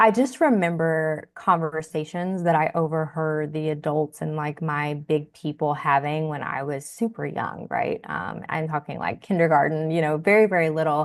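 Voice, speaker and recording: A woman with a Southern US accent speaks at a very deep, low pitch with ordinary pitch variation. Her pace is moderate with hardly any pauses, against a quiet background. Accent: Southern, country. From US South, rural Tennessee. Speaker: personal finance educator. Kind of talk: podcast interview.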